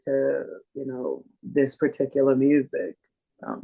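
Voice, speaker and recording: This woman speaks at a fairly slow pace with a Texan accent. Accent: Texan US Southern. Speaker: blues singer. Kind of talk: interview.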